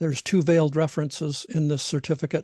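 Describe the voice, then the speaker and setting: At a very fast pace, a man talks in a dark, mellow tone that is somewhat breathy, with fairly even intonation. The sound is dry and close with no echo, against a quiet background. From Alaska (Alaska Peninsula). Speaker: trainer / lecturer. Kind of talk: online training lecture. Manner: halting, many fillers.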